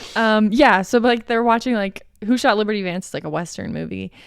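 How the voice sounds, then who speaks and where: Speaking fairly quickly with an American accent and ordinary pitch variation, a woman is heard on a very clean recording against a silent background. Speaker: podcast co-host. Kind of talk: casual chat. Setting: home, dog present. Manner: animated.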